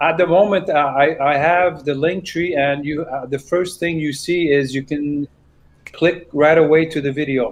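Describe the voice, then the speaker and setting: A man's fairly high voice, a plain, everyday voice, at a moderate pace with fairly even intonation. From Canada. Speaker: singer-songwriter. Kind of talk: casual interview.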